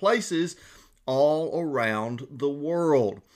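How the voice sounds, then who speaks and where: Fairly high male voice with a Southern US accent and lively intonation, on a very clean recording with a silent background. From Georgia. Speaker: pastor. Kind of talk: devotional Bible teaching.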